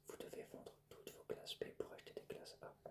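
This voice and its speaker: The speaker is whispering. The pace is moderate. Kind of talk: whispered educational lecture; ASMR educational narration. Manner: whispered, soft.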